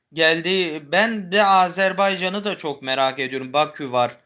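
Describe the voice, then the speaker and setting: A man's voice with ordinary pitch variation. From Istanbul, Turkey. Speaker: YouTuber. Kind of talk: casual chat. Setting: home livestream.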